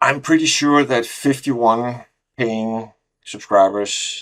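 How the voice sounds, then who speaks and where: In a non-native accent, a man speaks at a very slow pace. His pitch is medium, with ordinary pitch variation. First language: not English. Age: 50s. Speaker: solo software founder, programmer. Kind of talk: casual vlog. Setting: home office. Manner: halting, many fillers.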